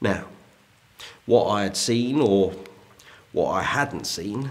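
Ordinary pitch variation marks a man talking at a fairly slow pace. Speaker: historical character actor. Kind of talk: ghost story telling, period drama. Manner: slow, suspenseful storyteller building dread. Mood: hushed, suspenseful. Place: home room.

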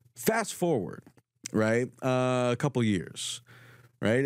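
Speaking at a moderate pace, a man has a plain, everyday voice of medium pitch with ordinary pitch variation. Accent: American. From Southern California, Orange County. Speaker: podcast host. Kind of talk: panel interview.

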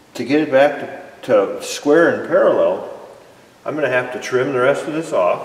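A man's very slow speech with audible room echo. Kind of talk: tutorial. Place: workshop. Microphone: camera far.

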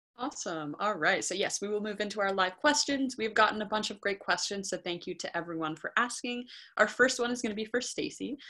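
A woman with an American accent talks very fast, with hardly any pauses, in a fairly high pitch and a bright, sharp tone. Her intonation is lively, and the background is quiet. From Northern California. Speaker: moderator of a university virtual visit; student ambassador moderator. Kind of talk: presentation and Q&A moderation. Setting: video call. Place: home room. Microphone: webcam.

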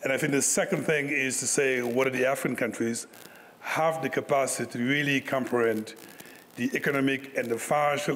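The loudness stays very even while the pace runs fairly quick. Light background noise can be heard. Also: man. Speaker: conference panel moderator. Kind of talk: moderated panel discussion. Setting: stage with audience. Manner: animated. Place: hall. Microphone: podium.

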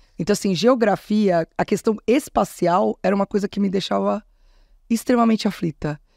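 A woman at a moderate pace with ordinary pitch variation, in a dry sound with no echo and a quiet background. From São Paulo, Zona Norte; São Paulo. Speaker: state culture secretary; interview guest. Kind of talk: interview. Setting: studio. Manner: talkative. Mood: relaxed, conversational. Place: studio. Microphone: studio mic.

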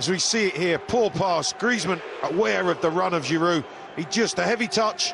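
There is noticeable background noise behind this man. He talks at a moderate pace with very even loudness. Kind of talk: live football co-commentary. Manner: analytical, measured, fluent with praise.

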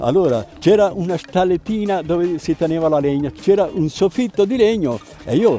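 A man's fairly high voice, dry with no echo, faint music behind him. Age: 80s+. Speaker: ski instructor. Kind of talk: interview and storytelling. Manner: halting, with fillers and repetitions.

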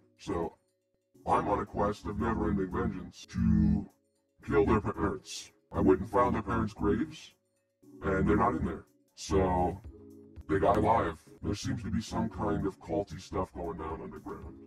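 A man puts on a character voice, pitched very deep and low. He speaks at a moderate pace with long, frequent pauses, and faint music plays in the background. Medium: actual play. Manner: blunt, earnest.

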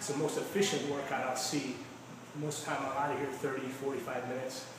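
A man speaks very fast in a monotone, flat intonation, with strong room echo and noticeable background noise. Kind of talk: testimonial interview answer. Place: gym.

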